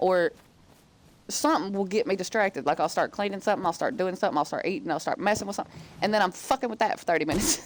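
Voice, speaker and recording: Very fast speech in a Southern US accent with lively intonation. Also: woman, medium pitch for a woman. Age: 30s. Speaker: gaming streamer. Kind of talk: casual chat. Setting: live stream. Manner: animated.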